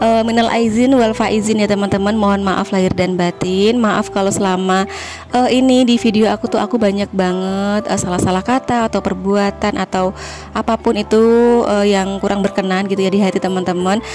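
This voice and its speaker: Fairly quick delivery at very even loudness, with fairly even intonation and music in the background. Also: woman. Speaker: vlogger. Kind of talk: voice-over vlog narration. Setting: in-laws' house in home village. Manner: casual, chatty. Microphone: no microphone, speaking directly.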